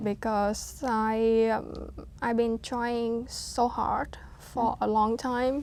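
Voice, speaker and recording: A woman with a Vietnamese accent speaks at a very slow pace. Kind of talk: interview answer.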